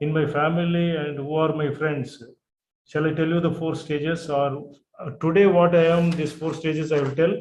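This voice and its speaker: Audible room echo surrounds a man speaking in a monotone with flat intonation. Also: fairly high pitch for a man, moderate pace. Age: 70s. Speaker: participant. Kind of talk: Q&A question.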